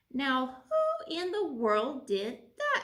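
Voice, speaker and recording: A woman speaks in a put-on character voice with a high pitch. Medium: read story.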